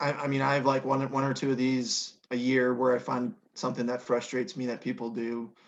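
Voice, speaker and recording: A man with an American accent, fairly high in pitch, at a fairly quick pace. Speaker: podcast co-host, actuary. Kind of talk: casual chat.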